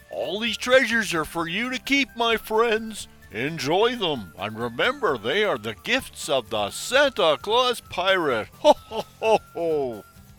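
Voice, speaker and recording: Over faint background music, a man does a put-on character voice, high-pitched for a man, at a fairly slow pace. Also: hardly any pauses. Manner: jolly and grand to victims, snapping at crew.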